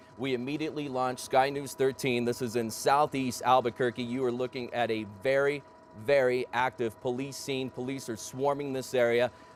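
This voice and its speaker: Amid noticeable background noise, a man speaks at a moderate pace and medium pitch in a monotone, flat intonation. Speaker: TV news anchor and reporter. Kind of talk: live TV news field report. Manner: conversational.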